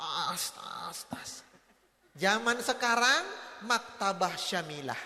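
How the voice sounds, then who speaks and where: Amid audible room echo, a man with an extremely high pitch speaks very slowly with lively intonation and long, frequent pauses. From North Sumatra, Batak. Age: 40s. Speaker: Islamic preacher. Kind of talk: parenting lecture to parents and teachers. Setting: convention hall with audience. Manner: animated storytelling with acted dialogue.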